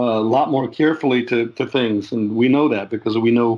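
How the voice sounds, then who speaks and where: A man speaks at a moderate pace with an American accent. His pitch is medium and his intonation fairly even. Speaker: jazz guitarist and composer. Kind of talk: interview. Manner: halting, many fillers and repeats.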